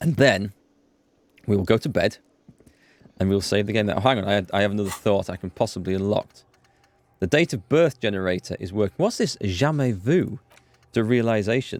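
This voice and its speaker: A man with a Yorkshire accent at a fairly quick pace and a fairly low pitch, with ordinary pitch variation, long, frequent pauses, and a dry, close sound with no echo. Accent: soft Yorkshire. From North Yorkshire, northeast England. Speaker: gaming streamer. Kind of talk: live let's play commentary. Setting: live stream. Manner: casual, hesitant with fillers.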